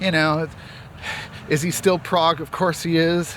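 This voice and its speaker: Noticeable background noise behind a man talking at a moderate pace. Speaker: music commentator and producer. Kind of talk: casual vlog monologue. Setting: outdoors, on a walk. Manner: speaking in higher range of his voice.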